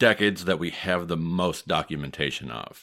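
On a very clean recording with a silent background, a man with a Midwestern US accent speaks at a moderate pace with a very deep, low pitch. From US Midwest. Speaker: historian and podcast host. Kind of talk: casual podcast storytelling.

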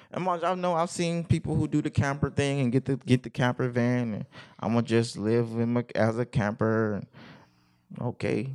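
Heard in a dry, close sound with no echo, a man talks at medium pitch and a moderate pace with ordinary pitch variation. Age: 30s. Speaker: podcast co-host. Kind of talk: casual chat.

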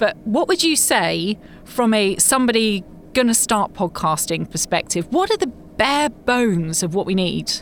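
Noticeable background noise sits behind a woman with a fairly high voice and very wide pitch swings. She keeps a moderate pace at a very even loudness. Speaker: podcast host. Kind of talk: casual interview. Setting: booth at live podcast show.

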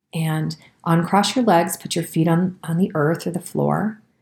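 Somewhat breathy and fairly low in pitch, a woman speaks at a moderate pace in a calm, gentle tone. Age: 40s. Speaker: podcast host and health practitioner. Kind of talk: reflective wellness talk with guided practice; guided meditation.

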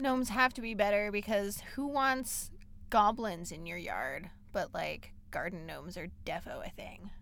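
A woman talks with lively intonation and audible vocal fry. Her loudness rises and falls in big swings. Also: medium pitch for a woman, fairly slow pace. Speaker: podcast co-host. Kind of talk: casual chat.

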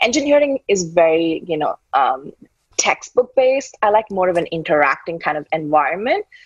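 This woman's intonation is lively, and she keeps a moderate pace. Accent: Indian. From India. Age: 30s. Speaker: tech startup founder. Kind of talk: interview.

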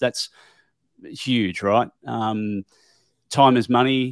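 In a very clean recording with a silent background and a dry, close sound with no echo, a man with an Australian accent talks at a medium pitch. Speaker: tile industry professional and podcaster. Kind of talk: casual interview. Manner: hesitant, many fillers.

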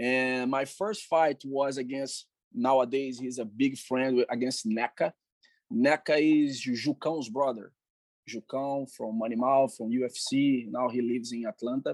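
A man with a Portuguese accent speaks fairly slowly at medium pitch with fairly even intonation, the sound dry and close with no echo and the background quiet. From Brazil. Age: 40s. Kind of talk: interview.

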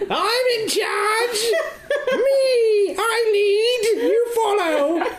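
At a very slow pace, a put-on character voice with an extremely high pitch comes through over clear background noise. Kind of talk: crude, shouting. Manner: bossy, boastful.

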